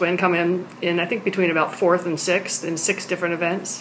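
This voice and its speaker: Over noticeable background noise, a woman talks at a fairly quick pace in a fairly low pitch. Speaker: interviewer. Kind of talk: interview questions.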